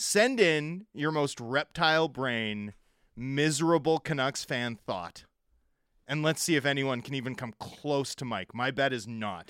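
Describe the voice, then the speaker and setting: Lively in intonation, a man talks at a fairly slow pace. The sound is dry and close with no echo, in a very clean recording with a silent background. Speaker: radio co-host and hockey reporter. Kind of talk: casual chat. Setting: studio.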